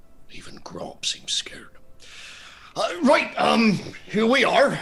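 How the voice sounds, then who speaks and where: Whispering at a fairly slow pace, a man uses a put-on character voice. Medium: actual play. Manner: folksy, halting.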